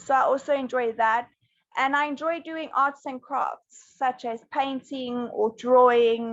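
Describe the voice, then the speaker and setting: This woman has a high pitch. She speaks at a moderate pace. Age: 20s. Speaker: English teacher. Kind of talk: online class chat.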